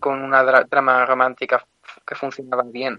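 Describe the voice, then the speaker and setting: This is a man with a medium-pitched voice. He speaks at a moderate pace. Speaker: film radio contributor. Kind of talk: casual film chat. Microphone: too quiet.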